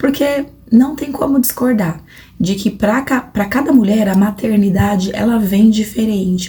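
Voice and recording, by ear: A woman puts on a hoarse character voice at a fairly high pitch, with ordinary pitch variation and a moderate pace.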